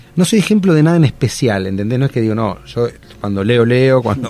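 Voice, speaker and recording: A man speaks with an Argentine accent, his pitch swinging very widely. Noticeable background noise runs underneath. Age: 50s. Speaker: TV actor and social entrepreneur. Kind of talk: casual chat.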